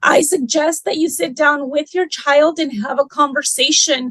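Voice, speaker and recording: A woman's high-pitched voice at a fairly slow pace, the sound dry and close with no echo. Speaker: school administrator (dean). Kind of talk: virtual parent meeting presentation. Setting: video call.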